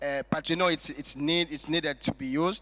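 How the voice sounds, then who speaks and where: Bright and sharp in tone, a man's voice has a fairly high pitch. His intonation stays fairly even. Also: very clean recording, silent background. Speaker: master of ceremonies. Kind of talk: event MC speech with jokes.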